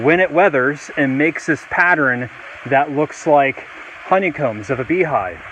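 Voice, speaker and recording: Noticeable background noise behind a man with a fairly high pitch, ordinary pitch variation and a moderate pace. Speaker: teacher. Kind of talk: outdoor educational video lesson. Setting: outdoors by a waterfall. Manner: loud, projecting over the water; casual, with many fillers.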